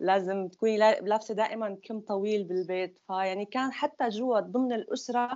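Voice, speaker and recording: A woman talks in a normal speaking voice at a moderate pace. Her pitch sits fairly high, with ordinary pitch variation. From Syria (Damascus). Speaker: former group member. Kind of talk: personal testimony.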